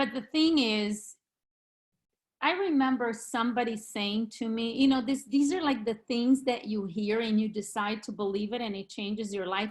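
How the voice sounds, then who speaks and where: A woman's fairly high voice with a Brazilian Portuguese accent, a confident, passionate tone, moderate pace and ordinary pitch variation. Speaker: real estate agent. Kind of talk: video call interview. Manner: confident and passionate.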